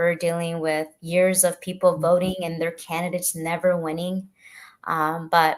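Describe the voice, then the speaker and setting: A woman with a Spanish accent, fairly low pitch and monotone, flat intonation at a moderate pace. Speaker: political candidate. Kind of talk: panel interview answer. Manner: halting, frequent fillers.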